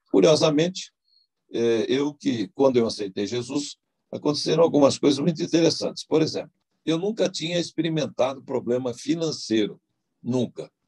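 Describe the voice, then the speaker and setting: At a moderate pace, a man with a dark, mellow tone, vocal fry and lively intonation is heard in a dry, close sound with no echo. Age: 80s+. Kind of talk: testimony. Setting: online video event. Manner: halting, many fillers.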